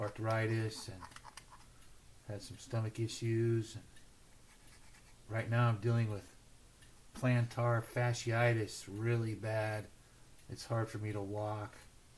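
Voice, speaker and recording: A man's medium-pitched, somewhat breathy voice, flat and monotone, very slow with long, frequent pauses and big swings in loudness. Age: 60s. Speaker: slot car builder hosting a livestream. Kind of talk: casual livestream chat.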